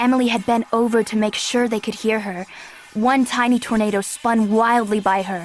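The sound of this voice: This is an unforced reading voice. The intonation stays fairly even.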